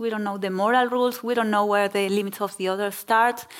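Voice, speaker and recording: Someone speaks at a very fast pace. The speech carries a Spanish accent. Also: woman. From Argentina. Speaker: novelist. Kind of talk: onstage literary conversation. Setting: stage with audience.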